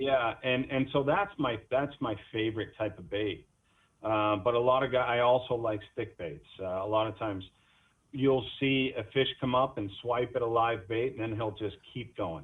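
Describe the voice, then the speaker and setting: This is an ordinary speaking voice, keeping a moderate pace and ordinary pitch variation. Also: man, medium pitch for a man. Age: 40s. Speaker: fisherman. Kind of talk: casual interview chat.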